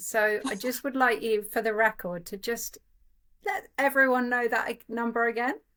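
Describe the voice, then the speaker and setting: This woman has a fairly high pitch and a bright, sharp tone. She moves at a moderate pace with ordinary pitch variation. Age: 40s. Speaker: podcast host. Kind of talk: interview. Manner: animated.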